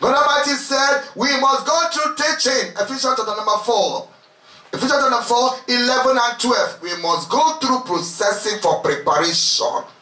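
With music in the background and audible room echo, a man speaks in a raised, projected, extremely high voice, animated in tone and lively in intonation at a moderate pace. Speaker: preacher leading a retreat. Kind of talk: sermon, fervent preaching with prayer. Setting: retreat with congregation. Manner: animated, impassioned, exhorting the crowd with repeated calls. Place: home room.

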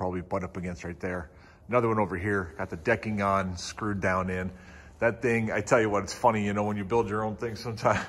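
A man's plain, everyday voice, fairly low in pitch, with fairly even intonation and a fairly quick pace. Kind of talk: casual vlog chat. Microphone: phone near.

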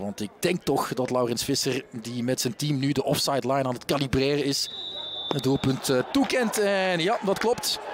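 A man talks at a moderate pace in a fairly high pitch. His intonation is lively, and there is noticeable background noise. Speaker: football commentator. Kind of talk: live football commentary.

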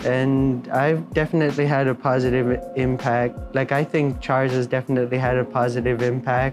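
Clear music plays in the background while a man speaks. His pace is moderate and his intonation fairly even. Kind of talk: interview answer. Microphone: lapel.

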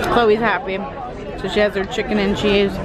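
A woman speaks with crowd noise in the background. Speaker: travel vlogger. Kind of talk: casual vlog chat. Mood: cheerful, laughing. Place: cafe. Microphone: phone near.

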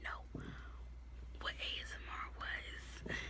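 A woman speaks in a whisper. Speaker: vlogger. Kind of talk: ASMR. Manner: whispered. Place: home room. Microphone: phone near.

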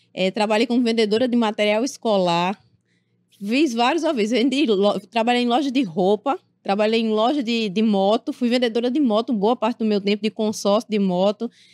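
Against a quiet background with a dry sound and no echo, a woman speaks at a moderate pace. Her pitch is fairly high with ordinary variation, and her loudness stays very even. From Paraíba, Brazil (Sapé); Paraíba, Brazil. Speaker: political journalist, correspondent; journalist guest. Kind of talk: interview. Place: studio. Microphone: studio mic.

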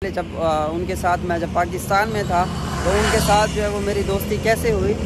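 A man is talking over loud background noise. The sound is dry, with no echo. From Pakistan. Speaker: vlogger. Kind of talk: casual vlog talk to camera. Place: street. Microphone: phone near.

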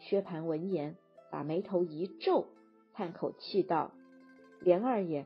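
Over music in the background, a woman speaks very slowly at a medium pitch. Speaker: audiobook narrator. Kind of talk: classic novel audiobook reading.

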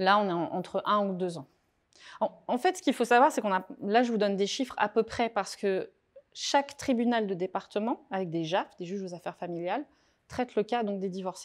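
A woman's plain, everyday voice at a medium pitch, fairly quick pace and ordinary pitch variation. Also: quiet background. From France, Touraine; France. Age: 40s. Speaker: author and divorce coach; speaker. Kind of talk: talk to a small live audience. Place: meeting room.

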